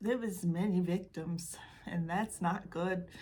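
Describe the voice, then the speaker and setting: With a Michigan accent, a woman talks at a fairly slow pace in a somewhat breathy voice with fairly even intonation. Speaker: true crime YouTuber. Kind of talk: casual true crime talk to camera. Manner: casual, chatty, sarcastic.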